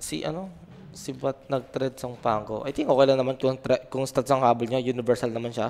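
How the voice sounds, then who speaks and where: This man has a normal speaking voice, medium in pitch, with fairly even intonation and a fairly quick pace. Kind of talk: esports commentary. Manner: relaxed analyst, conversational, with short agreeing interjections.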